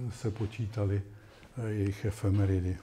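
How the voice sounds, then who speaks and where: A man's dark, mellow, somewhat breathy voice with monotone, flat intonation over light background noise. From Czech Republic. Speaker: astronomer; invited lecturer. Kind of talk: lecture. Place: classroom.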